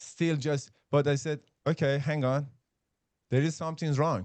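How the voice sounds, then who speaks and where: A man speaks slowly-ish with a fairly high pitch. His intonation stays fairly even against a quiet background. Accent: Persian. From Iran. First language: Persian. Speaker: podcast co-host. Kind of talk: casual discussion. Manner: halting.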